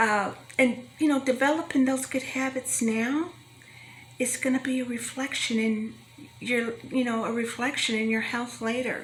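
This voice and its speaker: Over noticeable background noise, a high-pitched woman speaks with fairly even intonation. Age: 60s. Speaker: health talk speaker. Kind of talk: motivational talk to young adults.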